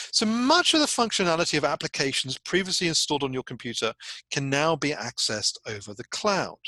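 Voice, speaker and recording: With a British accent, a man speaks in a bright, sharp tone at a fairly high pitch with very wide pitch swings. The sound is dry and close with no echo, and the background is quiet. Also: fairly quick pace. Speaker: university lecturer. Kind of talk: recorded lecture. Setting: recording alone without live audience. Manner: animated, conversational.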